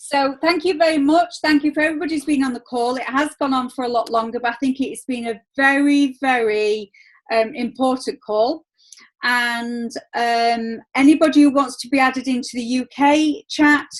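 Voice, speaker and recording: The speaker has a Yorkshire accent and a moderate pace. Pitch variation is ordinary. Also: woman, high pitch for a woman. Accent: broad Yorkshire. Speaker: network marketing team leader. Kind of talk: video call team meeting. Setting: video call.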